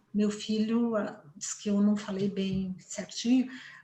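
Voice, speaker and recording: The woman talks at a fairly slow pace. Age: 60s. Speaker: family therapist. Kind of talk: interview.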